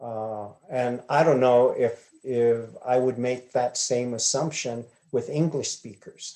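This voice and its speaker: A voice with an Arizona accent and a dark, mellow tone speaks at a very slow pace over a quiet background. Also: man. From Hopi reservation, Arizona. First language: Hopi. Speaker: glass artist. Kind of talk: interview answers. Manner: hesitant, many fillers.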